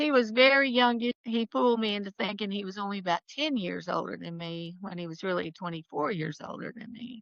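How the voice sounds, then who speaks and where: A woman with a normal speaking voice talks at a fairly quick pace with hardly any pauses. Her medium pitch has lively intonation and big swings in loudness. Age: 60s. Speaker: real estate attorney. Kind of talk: casual chat.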